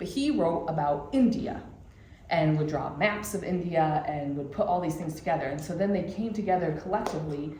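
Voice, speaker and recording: A woman with a Michigan accent speaks with ordinary pitch variation. Audible room echo and noticeable background noise fill the recording. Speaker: church class teacher. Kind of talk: lecture. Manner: casual, many fillers.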